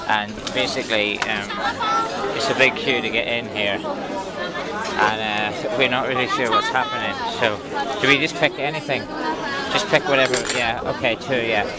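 Over crowd noise in the background, a man speaks at a moderate pace with ordinary pitch variation. The sound is dry with no echo, and he leaves long, frequent pauses. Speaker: travel vlogger. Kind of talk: casual vlog chat. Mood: excited, amused. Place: cafe. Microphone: phone near.

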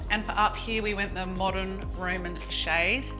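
A woman speaks with clear music in the background. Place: home room.

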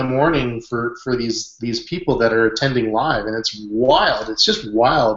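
Over a quiet background, a man talks at a moderate pace with audible room echo. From western Canada. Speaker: online business consultant; hangout host. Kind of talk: group video chat. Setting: video call. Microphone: webcam.

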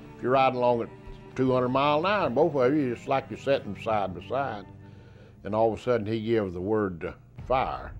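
Faint music plays behind a man with a Southern US accent who talks at a moderate pace with lively intonation. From South Carolina. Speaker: war veteran. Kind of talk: interview answer. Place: studio. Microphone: lapel.

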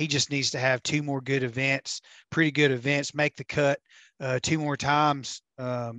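A man with a medium pitch speaks at a moderate pace in a monotone, flat intonation and a bright, sharp tone. The sound is dry with no echo against a quiet background. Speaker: fishing tournament videographer; podcast guest. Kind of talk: casual podcast chat. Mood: relaxed, analytical. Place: home room. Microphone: headset.

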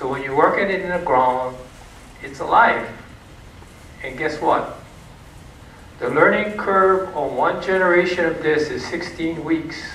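A high-pitched man at a fairly slow pace with ordinary pitch variation, audible room echo and light background noise. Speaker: presenter. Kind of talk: lecture. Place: hall.

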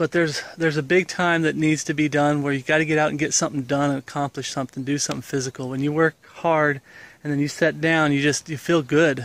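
The speech comes at a very fast pace in a monotone, flat intonation, with a dry sound and no echo. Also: man. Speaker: religious vlogger. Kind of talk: casual vlog chat. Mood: earnest, reflective. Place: garden. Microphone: phone near.

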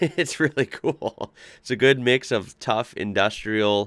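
A quiet background behind a man's speech. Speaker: reaction video host. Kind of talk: casual reaction commentary. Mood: enthusiastic, impressed. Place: home room.

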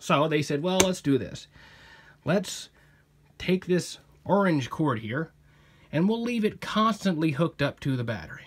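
Swinging very widely in pitch, a man speaks at a fairly slow pace. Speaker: hobbyist explaining radio wiring. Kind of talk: casual tutorial with jokes. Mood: sarcastic, self-mocking humor. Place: home room. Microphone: phone near.

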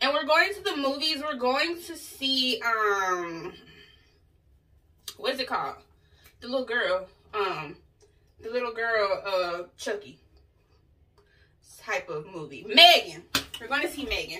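A woman speaks at a fairly slow pace with very wide pitch swings and long, frequent pauses. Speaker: lifestyle vlogger. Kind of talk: casual vlog chat. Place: home room. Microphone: camera far.

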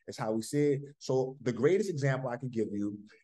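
Over a quiet background, a man speaks in a dark, mellow tone. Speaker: fitness coach leading group call. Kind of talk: motivational talk to group. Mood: upbeat, encouraging. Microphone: video call.

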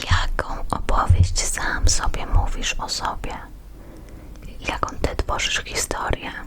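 Very slowly, a woman whispers against noticeable noise in the background. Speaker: ASMR creator. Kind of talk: ASMR card reading. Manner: whispered.

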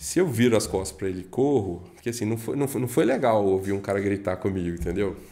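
A man speaks at a very fast pace with hardly any pauses. His fairly low voice has a dark, mellow tone and ordinary pitch variation. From Minas Gerais, Brazil. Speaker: guest, real estate professional; guest. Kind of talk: casual podcast interview. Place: studio. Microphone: studio mic.

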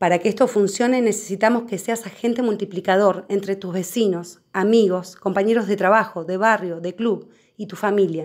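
Hardly pausing, a woman speaks at a moderate pace in a medium-pitched voice with fairly even intonation. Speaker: activist channel presenter. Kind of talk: rally or protest speech, a fiery rallying call to local neighbors. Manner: impassioned, declamatory, firm and resolute; formal and scripted, direct appeals to the audience.

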